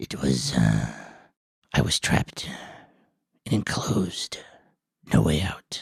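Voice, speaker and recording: A put-on character voice, quiet and raspy, moves at a fairly slow pace with long, frequent pauses and very wide pitch swings, in a dry, close sound with no echo. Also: man, very deep, low pitch for a man. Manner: very low and quiet.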